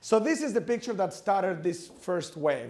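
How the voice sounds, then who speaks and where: A high-pitched male voice with audible room echo. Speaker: finance professor. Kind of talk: academic lecture. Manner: fast; halting, many fillers.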